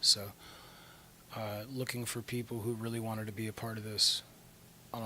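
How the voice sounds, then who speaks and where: A soft-spoken man talks at a medium pitch. His intonation stays monotone and flat at a moderate pace. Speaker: rock band vocalist. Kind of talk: interview.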